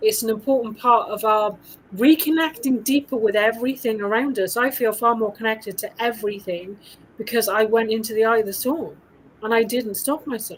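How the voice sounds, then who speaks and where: Speaking in a British accent, a woman keeps a fairly quick pace. Her pitch is fairly high, with ordinary variation. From UK. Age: 50s. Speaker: women's coach. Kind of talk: casual chat.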